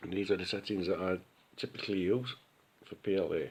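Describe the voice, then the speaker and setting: With fairly even intonation and a fairly low voice, the man talks fairly quickly. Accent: Sheffield. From Sheffield, UK. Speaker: 3D printing hobbyist. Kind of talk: casual talk behind the camera, software walkthrough. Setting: phone recording.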